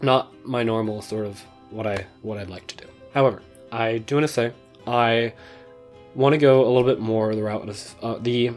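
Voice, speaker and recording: With music in the background, a man speaks at a moderate pace with a medium pitch and fairly even intonation. His loudness swings widely, and his pauses are long and frequent. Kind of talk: casual talk to camera. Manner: unscripted, hesitant.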